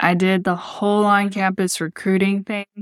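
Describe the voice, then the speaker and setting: In a very clean recording with a silent background, a woman with an American accent talks at a fairly slow pace in a monotone, flat delivery, the sound dry and close with no echo. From Texas Gulf Coast, Texas City. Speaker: podcast host, fashion brand founder. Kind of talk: solo personal storytelling podcast.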